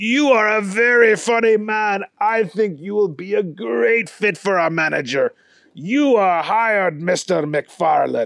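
In a quiet background, a man with a high pitch and lively intonation speaks at a fairly slow pace. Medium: read story. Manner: courteous, amused.

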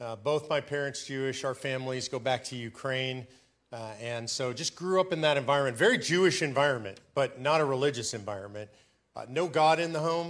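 A plain, everyday voice goes at a fairly quick pace while its pitch varies in an ordinary way. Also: man, medium pitch for a man. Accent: American. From US West Coast, Los Angeles. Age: 60s. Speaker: activist organization president. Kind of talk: interview testimony. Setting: stage with live audience.

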